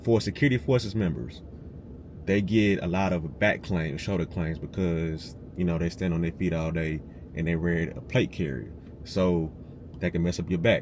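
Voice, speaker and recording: A man talks at a very deep, low pitch in an animated tone. His pace is moderate. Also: ordinary pitch variation. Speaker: military veteran, video creator. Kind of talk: casual advice tutorial. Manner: animated, conversational.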